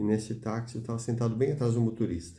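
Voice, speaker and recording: With audible room echo around him, a man speaks in a dark, mellow, somewhat breathy voice at a fairly low pitch. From Brazil. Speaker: preacher. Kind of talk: sermon.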